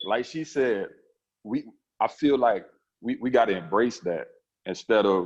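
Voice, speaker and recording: A man talks at a fairly slow pace with an American accent and ordinary pitch variation. The background is quiet. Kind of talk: panel discussion answer.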